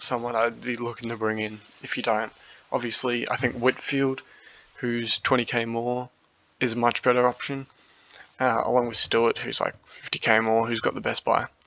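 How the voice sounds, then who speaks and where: This man speaks in an Australian accent at a moderate pace. His medium-pitched voice keeps a monotone, flat intonation. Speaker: fantasy football youtuber. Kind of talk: casual monologue review. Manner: hesitant, many fillers.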